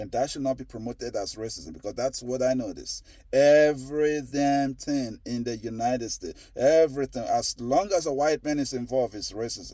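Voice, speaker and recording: A man talks at a medium pitch in a dark, mellow tone. His pitch variation is ordinary, his pace moderate, with hardly any pauses. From Nigeria. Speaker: commentator on social issues. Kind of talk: opinion monologue. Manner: halting, many repetitions; emphatic.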